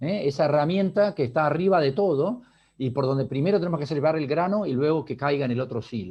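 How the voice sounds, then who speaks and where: In an Argentine accent, the speaker talks at a fairly quick pace with lively intonation. The background is quiet. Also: man. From Argentina. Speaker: business leader.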